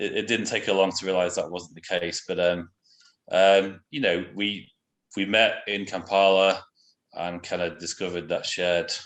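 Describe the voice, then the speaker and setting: A man with a British accent, fairly low in pitch, at a moderate pace with fairly even intonation and long, frequent pauses, against a quiet background. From England. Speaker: missionary. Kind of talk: interview. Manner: hesitant, many fillers.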